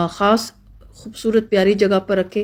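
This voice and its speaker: The recording is very clean, with a silent background. A woman speaks at a medium pitch with monotone, flat intonation. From Pakistan. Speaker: family vlogger. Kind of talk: cooking recipe explanation.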